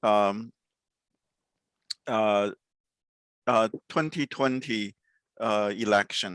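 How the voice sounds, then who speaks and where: A man with a Chinese accent, fairly low pitch, ordinary pitch variation, a very slow pace with long, frequent pauses, and a dry, close sound with no echo. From China. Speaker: podcast host. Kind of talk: interview. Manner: halting, many fillers.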